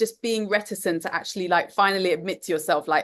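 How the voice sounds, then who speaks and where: In a London accent, a woman talks at a fairly quick pace over a quiet background. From London, England. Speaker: course teacher, empath coach. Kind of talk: online group class.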